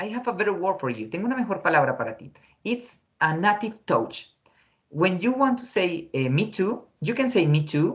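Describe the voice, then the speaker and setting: A man with a Spanish accent talks at a fairly quick pace in a high pitch, with very wide pitch swings. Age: 20s. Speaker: English teacher. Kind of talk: online class lesson. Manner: hesitant, many fillers.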